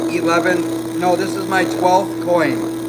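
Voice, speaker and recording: A man speaking at a very slow pace, with noticeable background noise and audible room echo. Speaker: laser engraving hobbyist streamer. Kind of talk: live stream demo. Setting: workshop next to laser machine. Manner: loud.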